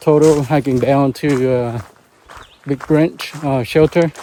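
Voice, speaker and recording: A man delivers his words at a fairly slow pace, his intonation fairly even, while noticeable noise sits in the background. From Vietnam. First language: Vietnamese. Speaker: solo hiker vlogger. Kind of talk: casual vlog narration. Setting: outdoors on a hiking trail. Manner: halting, many fillers.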